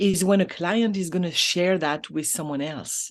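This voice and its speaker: In a French accent, a woman speaks at a medium pitch against a quiet background. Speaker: business coach. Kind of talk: interview. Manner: halting.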